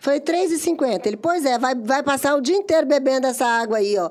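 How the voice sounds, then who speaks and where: Speaking fairly quickly, a woman with a high pitch makes very wide pitch swings. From Espírito Santo, Brazil. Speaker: podcast co-host. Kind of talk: casual chat.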